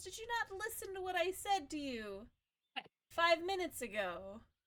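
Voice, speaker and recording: A woman puts on a squeaky character voice pitched extremely high. Her pitch swings very widely as she speaks at a moderate pace. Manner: impatient, stern, reproachful.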